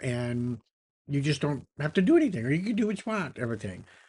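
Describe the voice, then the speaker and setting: Against a quiet background, a man with a fairly high pitch speaks in a somewhat breathy voice. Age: 70s. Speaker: retired entrepreneur and YouTuber. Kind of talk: casual talk to camera. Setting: home office beside a flight simulator. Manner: conversational with frequent fillers.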